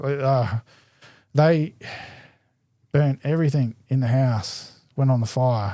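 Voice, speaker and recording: Very slowly, with long, frequent pauses, a man with an Australian accent speaks in a medium pitch and a dark, mellow tone, his pitch varying in an ordinary way on a very clean recording with a silent background. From Adelaide, South Australia. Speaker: BMX rider. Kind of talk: casual chat. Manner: loud, talkative.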